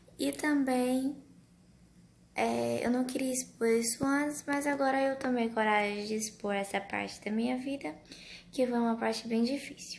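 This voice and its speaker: Soft-spoken and fairly high-pitched, a woman talks at a fairly slow pace with ordinary pitch variation. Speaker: vlogger, mother. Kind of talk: personal storytelling vlog. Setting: at home at night. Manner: soft-spoken, speaking quietly.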